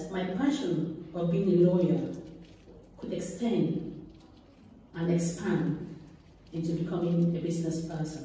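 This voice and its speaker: Strong room echo surrounds a woman's voice. She talks fairly slowly at a fairly low pitch. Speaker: guest. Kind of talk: speech. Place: hall. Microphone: camera far.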